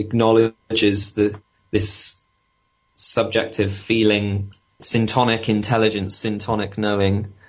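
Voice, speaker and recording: Speaking with a British accent, this man has a fairly low pitch. His delivery is monotone and flat, at a fairly slow pace. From Britain. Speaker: spiritual technologist, former PhD researcher. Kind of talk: interview.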